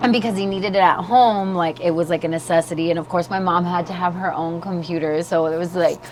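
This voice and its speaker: Against noticeable background noise, a woman talks very fast with hardly any pauses. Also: fairly low pitch for a woman. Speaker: podcast host. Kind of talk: casual chat. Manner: loud; animated.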